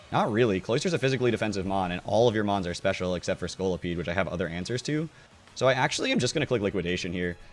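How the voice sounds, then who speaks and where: Very fast speech over music in the background. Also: man, fairly low pitch for a man. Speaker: Pokemon video game commentator. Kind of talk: gameplay commentary. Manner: casual, hesitant with fillers.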